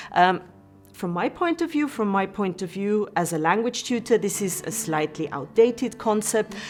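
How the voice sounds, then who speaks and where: A woman's medium-pitched voice with an Austrian accent, lively intonation and a moderate pace, over music in the background. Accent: German-speaking (Austrian) accent in English. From Austria, Vienna. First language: German. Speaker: university language tutor. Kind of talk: lecture. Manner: hesitant, many fillers.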